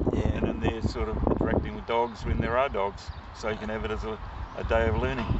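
Loud background noise surrounds a man talking at a fairly quick pace in a dry sound with no echo. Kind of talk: interview answer. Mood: relaxed, smiling. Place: open country. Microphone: phone near.

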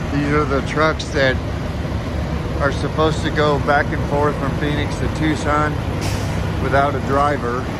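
Long, frequent pauses run through a dry sound with no echo, with loud background noise behind it. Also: fairly slow pace. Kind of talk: casual vlog chat. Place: station. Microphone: phone near.

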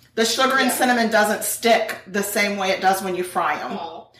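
A woman speaks at a moderate pace with a fairly high pitch and ordinary pitch variation. Light background noise and audible room echo are present. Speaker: true crime podcast co-host. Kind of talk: casual chat while cooking. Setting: home kitchen. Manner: laughs often. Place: kitchen.

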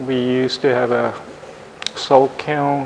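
A man's medium-pitched voice with fairly even intonation at a very slow pace, amid noticeable background noise. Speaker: ceramic artist demonstrating glazes. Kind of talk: demonstration talk.

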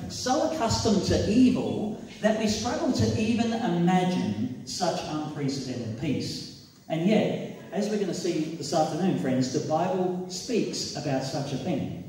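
Speaking at a fairly slow pace with very wide pitch swings, a man is heard in a room with strong echo and light background noise. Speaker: preacher. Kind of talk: sermon. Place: hall.

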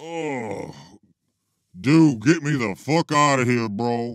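This man uses a cartoonish character voice at medium pitch. He speaks at a very slow pace. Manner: casual, unimpressed.

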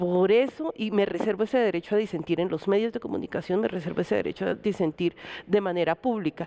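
Her tone dark and mellow, a woman talks at a very fast pace. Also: ordinary pitch variation. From Colombia. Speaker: electoral observation organization director; guest. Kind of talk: televised panel discussion. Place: studio. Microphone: headset.

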